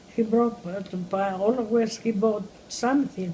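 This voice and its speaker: At a fairly slow pace, the somewhat breathy voice moves with ordinary pitch variation. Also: woman. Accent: Greek. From Crete, Greece. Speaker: elderly immigrant interviewee. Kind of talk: oral history interview. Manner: halting.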